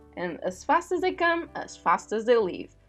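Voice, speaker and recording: The voice swings very widely in pitch at a moderate pace. Music plays in the background. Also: woman. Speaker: digital artist. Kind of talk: casual voiceover rant over speedpaint.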